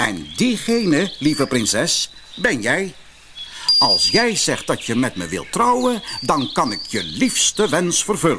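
A man's put-on character voice, fairly high-pitched, with very wide pitch swings, a bright, sharp tone and a slow pace, over faint background noise.

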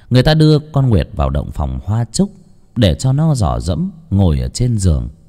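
The voice is natural. It reads aloud.

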